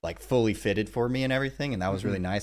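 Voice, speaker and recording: This man's voice has vocal fry and lively intonation. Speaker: podcast host. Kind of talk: casual podcast talk.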